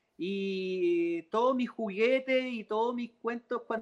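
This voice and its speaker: A man speaks with a Chilean accent at a high pitch. The sound is dry and close, with no echo. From Chile, Santiago. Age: 30s. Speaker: composer and keyboardist. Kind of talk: interview. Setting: video call from a parked car.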